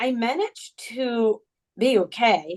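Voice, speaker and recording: A woman speaks with a Moroccan accent. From Morocco, Amazigh region. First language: Tamazight. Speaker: journalist and author. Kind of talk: interview.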